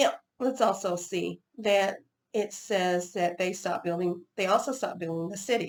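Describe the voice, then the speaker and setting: With an Oklahoma accent, a woman talks at a very fast pace with medium pitch and ordinary pitch variation. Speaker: Bible teacher. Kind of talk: Bible study teaching. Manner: halting, with false starts.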